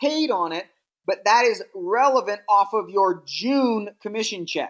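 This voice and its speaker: A woman's normal speaking voice, fairly high in pitch, fairly slow, with ordinary pitch variation, against a quiet background. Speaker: network marketing trainer. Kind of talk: training webinar.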